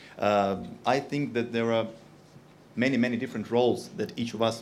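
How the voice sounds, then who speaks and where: There is audible room echo as a man with a Russian accent speaks at a medium pitch with ordinary pitch variation. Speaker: industry company representative. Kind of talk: conference talk. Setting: stage with audience. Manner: hesitant, many fillers.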